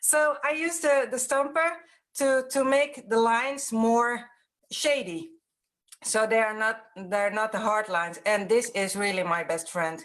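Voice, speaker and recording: A woman's fairly high voice with lively intonation at a fairly slow pace, on a very clean recording with a silent background. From Netherlands. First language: Dutch. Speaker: mixed-media artist and workshop teacher. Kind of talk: live stream interview. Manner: halting.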